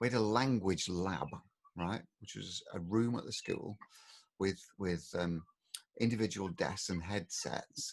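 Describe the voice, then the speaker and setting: With an English accent, a man talks at a fairly slow pace in a fairly low voice with ordinary pitch variation. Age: 60s. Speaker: podcast co-host, father. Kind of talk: casual chat. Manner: animated.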